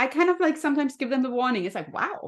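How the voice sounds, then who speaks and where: A woman speaks with a slight German accent. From Germany. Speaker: health and happiness coach. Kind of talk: podcast interview.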